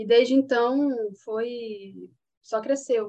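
A woman with a fairly high pitch and fairly even intonation speaks in a plain, everyday voice. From Paraíba, Brazil (Patos). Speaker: master's student. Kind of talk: casual chat.

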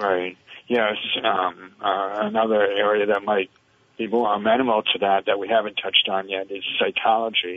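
At a moderate pace, a man speaks in a fairly low, monotone voice with flat intonation. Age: 60s. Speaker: retired pathologist. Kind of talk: interview. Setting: phone call. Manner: halting, many fillers.

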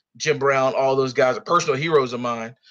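Here is a man with an American accent. His pitch is fairly high and his pace fairly quick. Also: quiet background. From North Carolina. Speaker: nursing student, former insurance man. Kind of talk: casual political round table.

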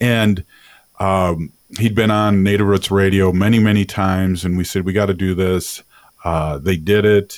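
Here is a man with a normal speaking voice, fairly low in pitch. He keeps a moderate pace and fairly even intonation. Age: 50s. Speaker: radio host. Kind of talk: casual chat.

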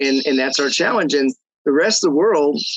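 It is a plain, everyday voice. The pace is moderate. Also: man. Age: 50s. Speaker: real estate economist. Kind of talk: interview. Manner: conversational with fillers.

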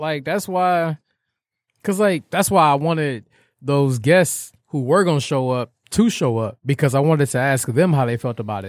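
In an American accent, a man with a fairly high pitch speaks at a moderate pace with lively intonation, the sound dry and close with no echo. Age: 20s. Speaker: podcast host. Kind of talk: casual chat. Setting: studio. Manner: animated.

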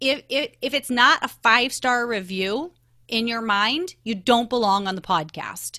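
Speaking with a slight Canadian accent, a woman uses a fairly high pitch and a bright, sharp tone, moving at a fairly slow pace with lively intonation on a very clean recording with a silent background. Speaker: podcast guesting expert. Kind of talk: interview. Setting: podcast recording.

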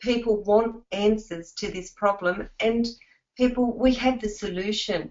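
A woman with an Australian accent, fairly high in pitch, at a fairly slow pace with fairly even intonation. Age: 50s. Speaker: network marketing distributor. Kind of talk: testimonial presentation.

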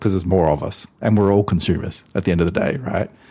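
Against a quiet background, a man with an Australian accent speaks at a very deep, low pitch with ordinary pitch variation. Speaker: airline loyalty industry executive. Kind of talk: interview.

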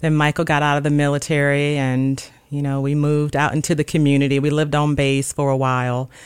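A woman's very deep, low voice in a Mississippi accent, very fast, monotone and flat, with very even loudness. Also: hardly any pauses. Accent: Southern US (Mississippi). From US South, Gulfport, Mississippi. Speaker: registered nurse. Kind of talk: casual chat.

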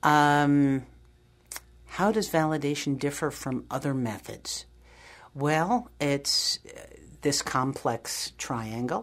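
In a very clean recording with a silent background, a woman with a very deep, low pitch speaks at a very slow pace with long, frequent pauses. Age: 60s. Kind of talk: interview. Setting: studio.

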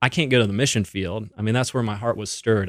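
Recorded very cleanly against a silent background, a man speaks in a normal speaking voice at a fairly low pitch. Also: dry, close sound with no echo. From Canada. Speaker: ministry executive and lawyer. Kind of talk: radio interview.

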